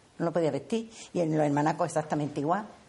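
This woman's voice has a dark, mellow tone. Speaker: seamstress, embroiderer. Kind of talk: interview.

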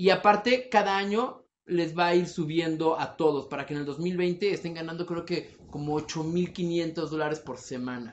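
A man with a high voice talks at a moderate pace, with ordinary pitch variation and hardly any pauses. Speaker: podcast co-host. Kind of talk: casual chat.

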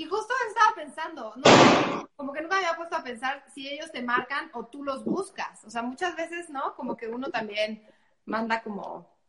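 A woman speaks in a high pitch with lively intonation. Her loudness swings widely. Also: moderate pace. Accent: central Mexican. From Mexico, Puebla. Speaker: online show host. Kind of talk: live interview. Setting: live stream.

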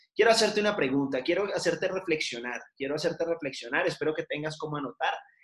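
Fairly quick and fairly high in pitch, a man's voice carries lively intonation. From Colombia, Cali. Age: 30s. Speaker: business administrator, seminar speaker. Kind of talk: online seminar talk. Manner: halting, with many fillers and repetitions.

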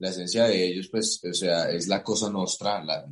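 A man with a very deep, low voice. He speaks at a fairly slow pace. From Colombia, Cartagena. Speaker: actor. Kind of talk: interview. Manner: halting, many repetitions.

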